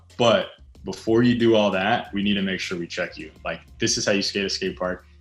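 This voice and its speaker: Over music in the background, a man with an American accent talks at a fairly quick pace, using a fairly low pitch and ordinary pitch variation. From US East Coast, Reading, Pennsylvania. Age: 20s. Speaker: pro skateboarder. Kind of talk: interview. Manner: casual, filler-heavy.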